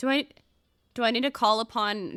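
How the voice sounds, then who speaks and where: A woman with an American accent is heard in a very clean recording with a silent background. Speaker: streamer. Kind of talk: casual gameplay livestream chat. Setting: livestream. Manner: animated.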